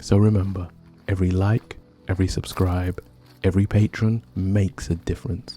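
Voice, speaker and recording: With music in the background, a man speaks in a calm tone at a very deep, low pitch, at a moderate pace, with very even loudness and fairly even intonation. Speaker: history podcaster. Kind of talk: storytelling narration. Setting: outdoors.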